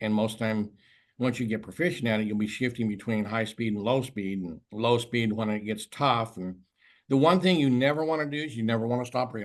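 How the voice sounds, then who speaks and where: A normal speaking voice, moderate in pace, with ordinary pitch variation and a quiet background. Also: man. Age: 60s. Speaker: tuna fishing expert and tournament organizer. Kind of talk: video call interview. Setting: video call.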